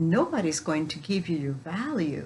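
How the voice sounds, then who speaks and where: A somewhat breathy woman talks at a fairly slow pace. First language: Spanish. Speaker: spiritual coach. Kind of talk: spiritual teaching talk.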